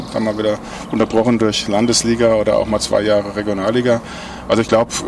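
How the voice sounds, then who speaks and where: A man talks at a very fast pace and medium pitch over noticeable background noise. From Mainz, Rhine-Main area, Germany. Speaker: handball club manager, former player. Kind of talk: casual chat. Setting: outdoors at a pub.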